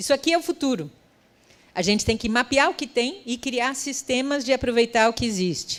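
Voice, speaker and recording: An ordinary speaking voice with lively intonation comes through on a very clean recording with a silent background. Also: woman. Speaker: futurist and creative economy specialist. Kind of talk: conference talk.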